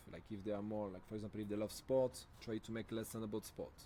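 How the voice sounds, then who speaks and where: A man talks with a French accent. His tone is dark and mellow. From France. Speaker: language camp trainer. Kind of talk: training presentation. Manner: hesitant, many fillers and self-corrections.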